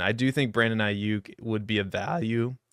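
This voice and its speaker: A man speaks at a fairly slow pace and fairly low pitch with ordinary pitch variation. The recording is very clean, with a silent background and a dry, close sound with no echo. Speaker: fantasy football podcast host. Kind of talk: solo live mock draft commentary. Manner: casual, rambling.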